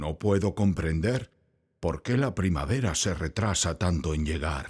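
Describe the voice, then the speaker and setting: In a put-on character voice, a man sounds gruff and very deep, low-pitched, speaking at a moderate pace in a very clean recording with a silent background. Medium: read story. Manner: gruff, possessive.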